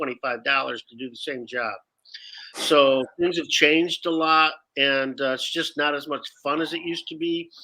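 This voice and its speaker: Speaking at a moderate pace, a man uses a normal speaking voice with an American accent. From Detroit, US Midwest. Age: 60s. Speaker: actor and improv teacher. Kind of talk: casual interview.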